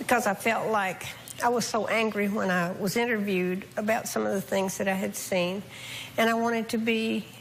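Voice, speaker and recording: Over noticeable background noise, a woman speaks at a moderate pace and medium pitch. Her intonation is monotone and flat, and her loudness stays very even. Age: 60s. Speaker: family member living in the household. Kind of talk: talk show interview.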